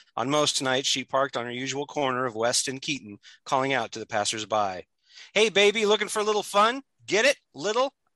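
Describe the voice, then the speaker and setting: The voice has a bright, sharp tone and a dramatic delivery, swinging very widely in pitch. It moves at a fairly quick pace over a quiet background. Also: man, fairly high pitch for a man. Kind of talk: horror fiction reading. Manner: dramatic narration, gritty and punchy.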